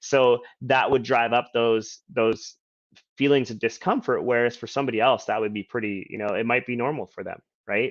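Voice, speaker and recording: This is an unremarkable speaking voice. It keeps a moderate pace and fairly even intonation. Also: man. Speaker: personal development coach. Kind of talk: live Q&A monologue. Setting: Facebook live stream.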